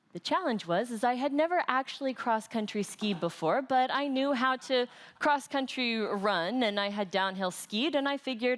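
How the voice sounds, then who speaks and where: With an American accent, a woman talks at a moderate pace, her pitch swinging very widely while her loudness stays very even. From United States. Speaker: conference speaker, trainer. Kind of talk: conference talk.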